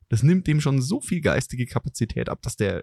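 A man with a dark, mellow tone speaks at medium pitch, somewhat breathy and at a fairly quick pace with lively intonation. The sound is dry and close with no echo, and the background is quiet. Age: middle-aged. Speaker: podcast host, business consultant. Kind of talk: casual chat.

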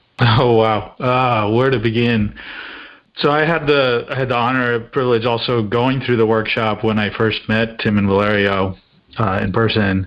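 Speaking in an unremarkable speaking voice, a man with an American accent keeps a moderate pace, a medium pitch and fairly even intonation. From mixed: India, Australia, England, US. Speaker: leadership and team performance consultant. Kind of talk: podcast interview.

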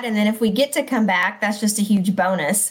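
With an American accent, a woman speaks in a normal speaking voice at a moderate pace and a fairly high pitch. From Texas. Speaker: school principal. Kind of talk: casual chat.

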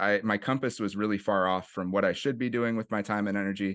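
With a Californian accent, a man talks at a fairly quick pace in a fairly low, monotone voice with flat intonation, over a quiet background. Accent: California English. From US West Coast, San Francisco East Bay (Oakland/Berkeley). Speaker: nonprofit executive director, jiu-jitsu coach. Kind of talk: casual interview.

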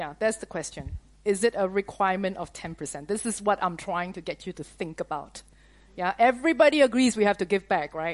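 A woman talks at a fairly quick pace in a plain, everyday voice, medium in pitch, against a quiet background. Her intonation is lively and her loudness swings widely. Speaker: preacher / conference teacher. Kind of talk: sermon / teaching to a live audience. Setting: conference with audience.

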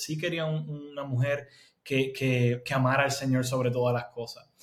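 At a moderate pace, a man speaks in a somewhat breathy voice of medium pitch with fairly even intonation. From Puerto Rico. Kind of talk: interview testimony.

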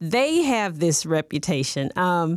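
The speaker has an American accent and an animated tone, with very wide pitch swings. The recording is very clean, with a silent background. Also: woman. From US Midwest, Southern Illinois near St. Louis. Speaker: football fan, fan of the year. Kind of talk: interview, casual chat.

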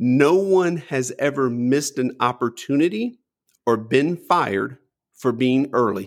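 In a very clean recording with a silent background, the speaker uses an unremarkable speaking voice. The intonation is lively and the pace fairly slow. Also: man, medium pitch for a man. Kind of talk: casual interview conversation.

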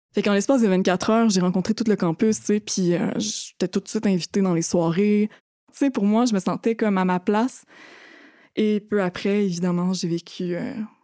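A woman's dark, mellow tone at a medium pitch, with fairly even intonation, a moderate pace, and a dry, close sound with no echo. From Quebec, Thetford Mines region. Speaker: activist and survivor. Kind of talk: testimony. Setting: studio.

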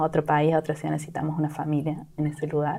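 The recording is very clean, with a silent background. A woman with a dark, mellow tone speaks at a very deep, low pitch and a fairly quick pace. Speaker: product manager. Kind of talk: interview.

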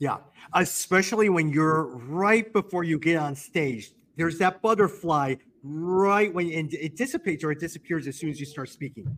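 An unremarkable speaking voice: a man with an American accent, fairly high pitch, ordinary pitch variation, and a moderate pace. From US, Chicago. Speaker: podcast host. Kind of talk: casual interview chat. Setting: video call.

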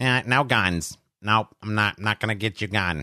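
Over a quiet background, a nasal, put-on character voice speaks at a moderate pace. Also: man, fairly low pitch for a man. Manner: mocking.

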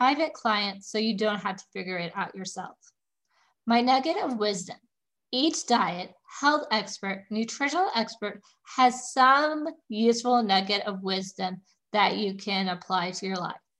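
A woman with an unremarkable speaking voice, fairly high pitch and lively intonation. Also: moderate pace. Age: 30s. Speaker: holistic nutritionist podcast host. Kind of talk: solo educational monologue.

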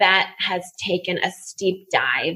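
A woman is speaking. She has an American accent. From California, San Francisco Bay Area. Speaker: graduate student and former chef. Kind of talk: casual chat.

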